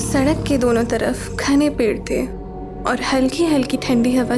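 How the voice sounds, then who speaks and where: A woman speaks with music in the background. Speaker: voiceover artist. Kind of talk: horror story narration.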